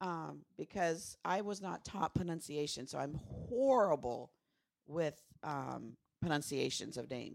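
A woman's very deep, low voice with vocal fry, lively intonation and a fairly slow pace. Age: old. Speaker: podcast co-host, TV recap. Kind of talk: casual chat. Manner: soft-spoken.

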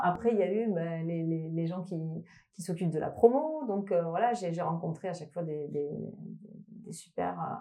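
Someone with a slight Toulouse accent speaks at a moderate pace with ordinary pitch variation over noticeable background noise. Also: woman. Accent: slight Toulouse intonation. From France, Toulouse. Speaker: electronic musician. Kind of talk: interview. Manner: halting.

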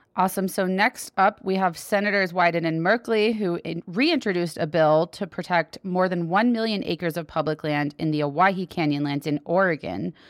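This woman has an ordinary speaking voice, fairly low in pitch with ordinary pitch variation, and she talks at a fairly quick pace with hardly any pauses. The recording is very clean with a silent background, and the sound is dry and close with no echo. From Texas. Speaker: public lands podcast co-host. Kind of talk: casual news roundup chat.

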